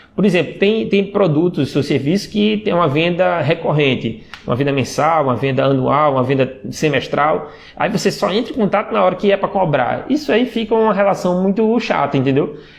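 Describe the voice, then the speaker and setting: With hardly any pauses, a man at high pitch makes very wide pitch swings while his loudness stays very even amid noticeable background noise. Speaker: sales and WhatsApp marketing trainer. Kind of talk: live stream talk. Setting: Instagram live stream. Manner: fast; many fillers and repetitions.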